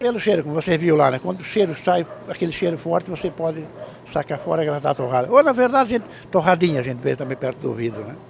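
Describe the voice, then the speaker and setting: A man with a fairly high pitch speaks with very wide pitch swings. Noticeable background noise runs underneath. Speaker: cassava flour miller. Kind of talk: interview. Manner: informal, many fillers.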